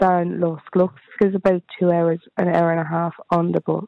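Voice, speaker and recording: In a Dublin accent, a woman speaks at a fairly low pitch and a moderate pace. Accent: Dublin Irish. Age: 30s. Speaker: caller, mother in temporary housing. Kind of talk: phone-in discussion. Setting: phone call.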